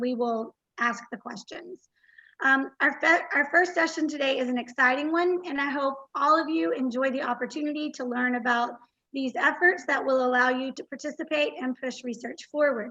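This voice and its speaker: A woman's raised, projected voice, high-pitched and bright and sharp in tone, with an American accent, ordinary pitch variation and a moderate pace. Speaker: conference host. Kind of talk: event welcome speech. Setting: virtual conference livestream.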